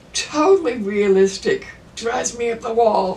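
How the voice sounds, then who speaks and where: Over noticeable background noise, a woman talks fairly slowly at a fairly high pitch. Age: old. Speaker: artist. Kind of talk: interview answer.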